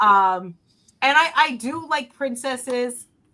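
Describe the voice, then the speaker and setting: This woman speaks in a New Jersey accent. Her tone comes across bright and sharp. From North Jersey, US. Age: 30s. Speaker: podcast panelist. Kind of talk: casual chat.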